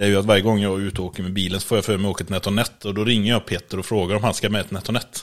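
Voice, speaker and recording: Very fast, monotone speech from a man, fairly low in pitch, flat in intonation, with hardly any pauses. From western Sweden, Borås. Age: 30s. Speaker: podcast co-host. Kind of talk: casual chat. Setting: at co-host's home.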